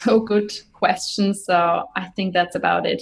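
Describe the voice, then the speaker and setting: A somewhat breathy voice with a German accent moves through ordinary pitch variation. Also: woman. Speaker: Ayurveda doctor and podcaster. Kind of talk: interview.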